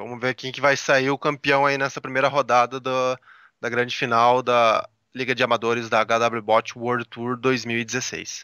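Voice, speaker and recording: A man with a Brazilian accent in monotone, flat intonation, dry sound with no echo, quiet background. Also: moderate pace. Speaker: Brazilian tech journalist co-host. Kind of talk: live commentary. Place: hall. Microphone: headset.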